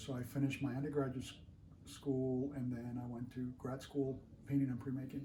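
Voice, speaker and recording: A man speaks with a Spanish accent in a somewhat breathy voice of medium pitch. Audible room echo surrounds the recording. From Colombia. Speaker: artist. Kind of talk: interview.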